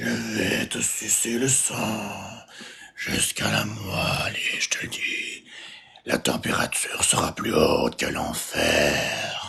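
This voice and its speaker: A man puts on a character voice that sounds raspy. He delivers it at a fairly slow pace. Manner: menacing, dramatic.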